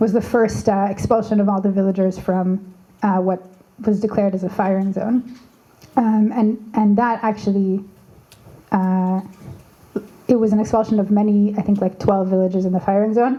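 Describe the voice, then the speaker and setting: A woman speaks with a Canadian accent at a medium pitch. Her intonation is monotone and flat, with long, frequent pauses. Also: moderate pace, very even loudness. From Canada. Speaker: activist. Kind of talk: panel discussion. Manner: halting, many fillers and restarts.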